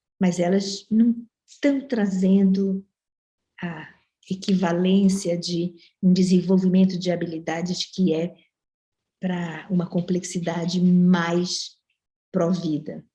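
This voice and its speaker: A woman with a dark, mellow tone, somewhat breathy and at a medium pitch, speaks at a very slow pace with fairly even intonation and long, frequent pauses. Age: 70s. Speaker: professor. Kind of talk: panel discussion.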